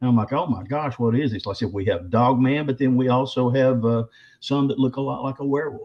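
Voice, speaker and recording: A man talks with a Southern US accent. His pace is very fast. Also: medium pitch for a man, ordinary pitch variation. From Arkansas. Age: 60s. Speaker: bigfoot researcher and author. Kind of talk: interview storytelling.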